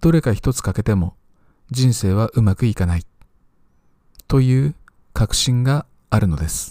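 A man with a medium pitch and a dark, mellow tone speaks at a fairly slow pace in a very clean recording with a silent background and a dry, close sound with no echo. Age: 50s. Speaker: teacher and podcaster. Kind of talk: solo talk, scripted monologue.

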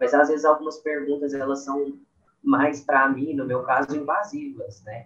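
Fairly high-pitched man, moderate pace, fairly even intonation. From Brazil, Minas Gerais (Uberlândia). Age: 20s. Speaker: dental student. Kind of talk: casual chat. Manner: halting.

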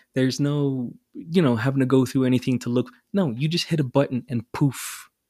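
His tone dark and mellow, a man speaks at medium pitch and a moderate pace with ordinary pitch variation. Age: 30s. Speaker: podcast co-host and father. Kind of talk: casual chat. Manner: animated.

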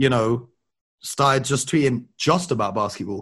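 The speech moves at a fairly quick pace and sounds somewhat breathy. Behind it, the background is quiet. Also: man. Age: 20s. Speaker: basketball broadcaster. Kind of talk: casual chat.

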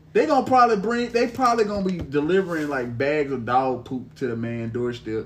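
Somewhat breathy and fairly high-pitched, a man talks at a fairly quick pace with hardly any pauses and very wide pitch swings. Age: 30s. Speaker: podcast host. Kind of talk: casual chat.

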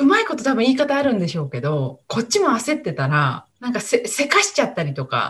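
A woman's voice with very wide pitch swings. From rural Japan. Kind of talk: casual interview.

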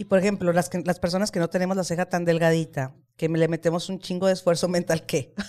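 A woman speaks very fast with a Mexican accent. Her voice sits fairly low, with a dark, mellow tone. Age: 40s. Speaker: podcast host. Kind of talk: casual chat. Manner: animated.

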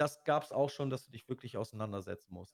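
A man speaks in an ordinary speaking voice, medium in pitch with ordinary pitch variation. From Lower Saxony, Osnabrück. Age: 40s. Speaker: streamer. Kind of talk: casual interview.

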